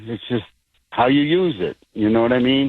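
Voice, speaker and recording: A plain, everyday voice from a man: moderate pace, medium pitch, ordinary pitch variation. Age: 60s. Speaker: caller. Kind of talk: phone-in conversation. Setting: phone call.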